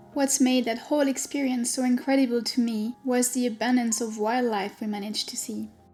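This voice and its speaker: Over music in the background, someone with a French accent talks at a fairly quick pace with hardly any pauses and monotone, flat intonation. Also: woman, high pitch for a woman. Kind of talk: travel vlog voice-over narration.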